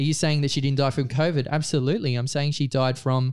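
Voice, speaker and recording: Fairly even intonation from a man with a fairly high-pitched voice. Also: very clean recording, silent background. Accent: Australian. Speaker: photographer and freedom-movement activist. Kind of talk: casual interview chat. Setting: studio.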